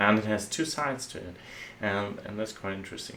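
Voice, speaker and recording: A man with a German accent and a fairly low voice speaks at a fairly quick pace, with audible room echo. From Germany. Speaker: software architect. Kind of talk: tutorial. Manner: halting.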